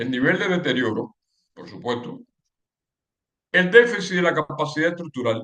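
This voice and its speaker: At a moderate pace, a fairly high-pitched man speaks with lively intonation and long, frequent pauses. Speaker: civil engineering lecturer. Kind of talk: lecture. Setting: webinar. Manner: halting with repetitions.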